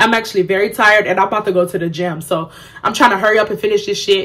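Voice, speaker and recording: Noticeable background noise sits behind this speaker. She is a woman with a fairly high pitch. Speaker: beauty and lifestyle YouTuber. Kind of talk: storytime vlog. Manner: low energy.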